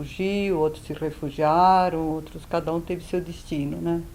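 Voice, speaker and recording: A woman talks in a fairly low pitch with a flat, monotone delivery. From Yugoslavia, Belgrade. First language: Serbo-Croatian (speaking Portuguese). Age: 70s. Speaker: Holocaust survivor. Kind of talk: testimony. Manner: hesitant, with fillers.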